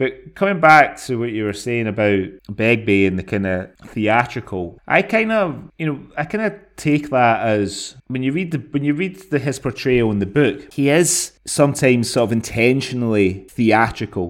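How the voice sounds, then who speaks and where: A man's lively intonation and moderate pace come through on a very clean recording with a silent background. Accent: Scottish. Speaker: podcast co-host. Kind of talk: casual chat.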